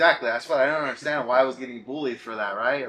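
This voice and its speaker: Over noticeable background noise, the speech rushes at a very fast pace with fairly even intonation. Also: man. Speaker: wrestling promotion interviewer. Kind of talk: casual interview. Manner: halting.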